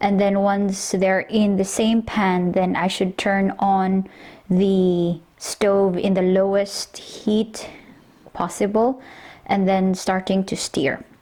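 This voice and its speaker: A woman with a Filipino accent talks at a very slow pace and medium pitch in a dark, mellow tone, her monotone, flat intonation and very even loudness captured on a very clean recording with a silent background. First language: Tagalog. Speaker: home cook vlogger. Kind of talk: cooking tutorial. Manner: casual, with hesitations.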